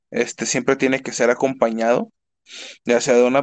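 The man talks at a moderate pace and medium pitch. His intonation is monotone and flat. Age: 20s. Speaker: university student and streamer. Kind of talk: casual chat. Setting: live online stream.

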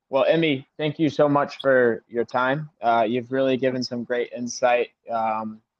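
The speech comes at a moderate pace in an American accent. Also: man. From US South, South Carolina. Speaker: podcast host. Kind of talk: interview.

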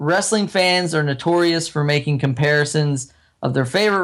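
This is a man with an unremarkable speaking voice, fairly high in pitch with ordinary variation, at a moderate pace. The recording is very clean, with a silent background. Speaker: wrestling podcast co-host. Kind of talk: casual chat.

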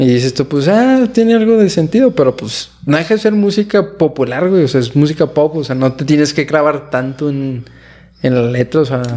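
This man's voice has a dark, mellow tone and a fairly high pitch. His intonation is lively. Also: moderate pace. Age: 20s. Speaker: podcast host. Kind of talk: casual chat.

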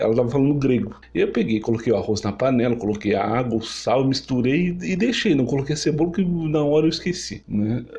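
A man's dark, mellow, somewhat breathy voice at medium pitch and a fairly quick pace. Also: very even loudness. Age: 30s. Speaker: podcast host, culinary student. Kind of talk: personal storytelling monologue. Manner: halting, with fillers and repetitions.

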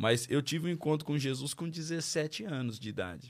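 A man with a normal speaking voice at a moderate pace, ordinary pitch variation, very clean recording and silent background. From Marília, interior of São Paulo, Brazil. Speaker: pastor. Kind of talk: testimony.

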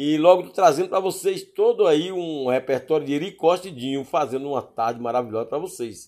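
In a very clean recording over a silent background, a man speaks at a moderate pace. His fairly high voice is animated, with ordinary pitch variation. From Bahia, Brazil (Paulo Afonso). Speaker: podcast host. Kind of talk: music show presenting.

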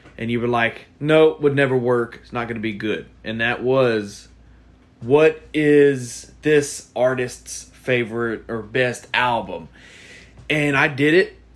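Speaking very slowly at a medium pitch, a man shows ordinary pitch variation and big swings in loudness. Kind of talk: casual chat.

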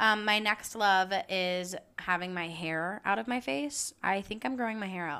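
A woman with an American accent, medium pitch, a bright, sharp and animated tone, lively intonation and moderate pace, on a very clean recording with a silent background. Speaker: podcast host. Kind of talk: casual chat.

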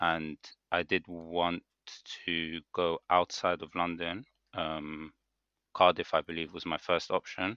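In a British accent, a man speaks at a very slow pace with long, frequent pauses, his pitch very deep and low and his intonation monotone and flat. His tone is bright and sharp, and the sound is dry and close with no echo. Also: quiet background. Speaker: podcast co-host, dental student. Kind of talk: casual chat.

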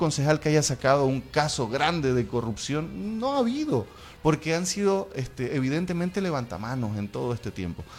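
A man's fairly high voice at a fairly quick pace, with music in the background. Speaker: activist and city councillor. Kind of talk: radio interview. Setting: radio studio. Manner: hesitant, repeats words.

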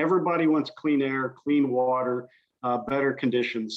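A man with an American accent speaks in a normal speaking voice, medium in pitch, at a moderate pace with fairly even intonation. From US Midwest (Southern Indiana). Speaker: conservation organization president. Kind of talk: interview.

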